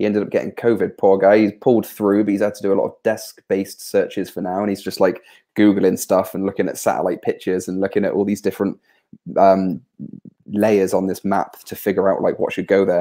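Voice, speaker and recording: In a West Country accent, a man speaks at a very fast pace on a very clean recording with a silent background. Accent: West Country farmer. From southwest England. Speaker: software developer and tree charity founder. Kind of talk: casual chat. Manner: hesitant, many fillers and repetitions.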